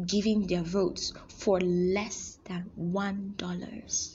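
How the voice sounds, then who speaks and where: Speaking at a very slow pace, the woman sounds somewhat breathy. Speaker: podcast host. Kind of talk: solo monologue. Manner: animated.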